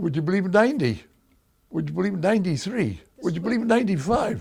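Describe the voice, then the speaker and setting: The man's pitch is high and his intonation lively. He talks at a fairly quick pace. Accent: New York. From Bronx, New York. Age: 80s+. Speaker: school board member, World War II veteran. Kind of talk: interview answer.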